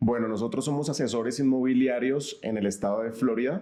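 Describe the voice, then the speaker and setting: A man speaks at a moderate pace in a dark, mellow tone, with ordinary pitch variation. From Colombia, Cali. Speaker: real estate advisor. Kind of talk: interview.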